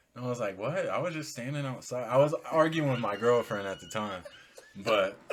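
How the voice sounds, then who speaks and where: A man at medium pitch with lively intonation and a fairly quick pace, over noticeable background noise. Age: 20s. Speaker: podcast co-host, son. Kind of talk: casual chat.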